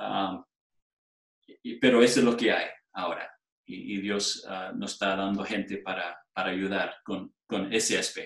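A man speaks at a fairly slow pace with long, frequent pauses. His pitch is fairly low and his intonation fairly even. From outside Spain. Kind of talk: interview. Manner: halting.

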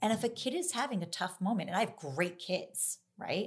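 With an American accent, a woman speaks in an animated tone at a moderate pace. Her voice is somewhat breathy, with ordinary pitch variation. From New Jersey suburbs. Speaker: dancer and choreographer. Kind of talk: casual chat.

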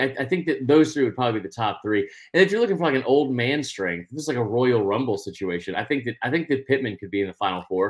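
A man talks at a very fast pace with a medium pitch and very wide pitch swings. The recording is very clean, with a silent background. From Atlanta, Georgia. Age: 30s. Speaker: college football commentator. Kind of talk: casual sports talk. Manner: halting, many fillers.

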